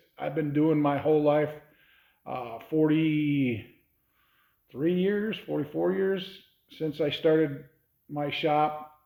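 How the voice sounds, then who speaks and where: In a room with audible echo, a man speaks slowly-ish at a fairly high pitch with ordinary pitch variation. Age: 60s. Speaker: hot rod shop owner. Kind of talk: casual talk to camera.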